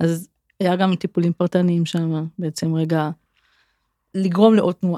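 A woman with a dark, mellow tone and fairly low pitch speaks at a moderate pace with fairly even intonation, in a dry, close sound with no echo. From Israel, Kfar Saba. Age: 40s. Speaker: occupational therapist. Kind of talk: interview conversation.

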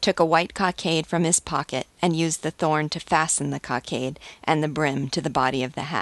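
Fairly even intonation with an American accent, in a dry, close sound with no echo. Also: woman, quiet background. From US West Coast. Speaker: literature commentator. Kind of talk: dramatic narration, reading aloud Hugo's scene with theatrical intensity; book commentary with quoted passages. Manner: impassioned, emotionally intense; bold, declamatory delivery in the Marquis's speech.

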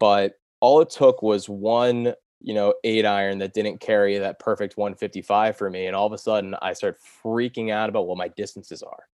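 In a normal speaking voice, a man talks at a moderate pace with a fairly low pitch and fairly even intonation. The background is quiet, and the sound is dry and close with no echo. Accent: American. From US Mid-Atlantic, Delaware. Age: 20s. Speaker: podcast intern, amateur golfer. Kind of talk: casual interview chat.

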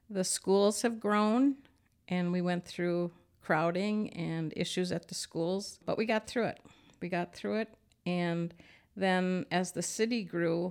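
A woman with an Upper Midwest accent at a very slow pace, in a very clean recording with a silent background. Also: medium pitch for a woman, fairly even intonation. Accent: Upper Midwest (Minnesota). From Minnesota. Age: 60s. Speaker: retired communications worker and former business owner. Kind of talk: interview.

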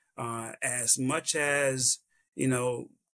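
A man talks at a medium pitch with a Southern US accent. The sound is dry and close, with no echo. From South Carolina. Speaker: event logistics consultant. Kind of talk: interview.

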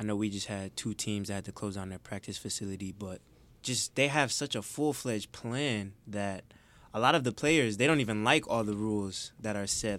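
A man with an American accent talks at a moderate pace, his pitch fairly low with ordinary variation. The recording is very clean, with a silent background. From Detroit, Michigan. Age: 20s. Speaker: college student and intern. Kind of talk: casual chat. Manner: smooth.

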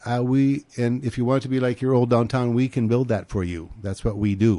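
Over a quiet background, a man talks at a fairly quick pace in a dark, mellow tone with fairly even intonation. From North Dakota. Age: 70s. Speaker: real estate developer. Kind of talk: radio interview. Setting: studio.

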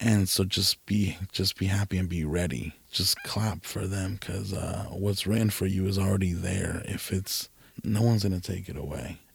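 With a very deep, low pitch and a somewhat breathy sound, a man talks at a moderate pace with fairly even intonation and hardly any pauses. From California, Mexican heritage. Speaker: content creator. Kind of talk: casual interview.

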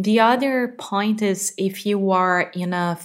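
A woman speaks with a Portuguese accent. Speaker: podcast co-host, English learner. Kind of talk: casual chat. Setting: home living room.

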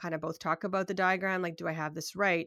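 This woman has a Canadian accent and a fairly low pitch. Her intonation stays flat and monotone in a very clean recording with a silent background. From Canada, Toronto. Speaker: software developer and UI designer. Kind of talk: casual interview.

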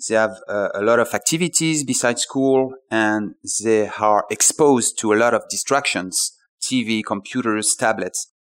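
The recording is very clean with a silent background as a man with a French accent talks at a moderate pace, medium pitch and ordinary pitch variation. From France. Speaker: startup founder. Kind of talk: interview. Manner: halting.

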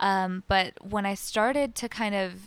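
With a normal speaking voice, a woman talks at a medium pitch using fairly even intonation. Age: 20s. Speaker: singer-songwriter. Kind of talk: casual chat. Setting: radio studio.

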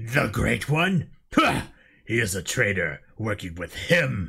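A man does a put-on character voice at a fairly slow pace. The recording is very clean, with a silent background. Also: medium pitch for a man. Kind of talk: amateur script read-through. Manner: doubtful, questioning.

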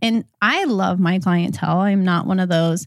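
A woman speaks in a normal speaking voice with an American accent, at medium pitch with ordinary pitch variation and a fairly slow pace, in a dry, close sound with no echo on a very clean recording with a silent background. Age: 30s. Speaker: hairstylist and educator. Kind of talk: casual interview chat.

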